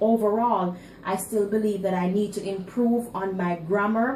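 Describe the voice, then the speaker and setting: A woman at a medium pitch and fairly slow pace, fairly even intonation, audible room echo, and noticeable background noise. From Jamaica. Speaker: student. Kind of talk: class presentation speech. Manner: halting, with fillers and repetitions.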